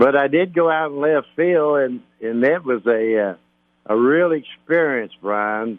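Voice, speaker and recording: In a Kentucky accent, a man speaks at a fairly slow pace with a fairly high pitch and ordinary pitch variation. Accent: Kentucky southern. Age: 80s+. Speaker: retired baseball player. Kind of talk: interview storytelling. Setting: phone call. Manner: halting.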